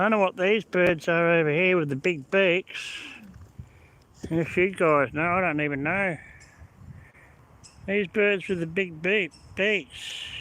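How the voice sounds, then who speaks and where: A man's high voice in an Australian accent, bright and sharp in tone, at a fairly slow pace with fairly even intonation and long, frequent pauses. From Australia (born Melbourne, moved to South Australia 1977). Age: 60s. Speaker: vlogger. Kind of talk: live-stream commentary. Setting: in a car. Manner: casual, rambling.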